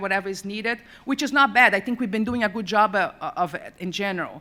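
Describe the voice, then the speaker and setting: A woman speaks at a fairly quick pace with a non-native accent. Her voice is fairly high in pitch, with a bright, sharp tone. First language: not English. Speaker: university accessibility administrator on a conference panel. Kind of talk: panel presentation.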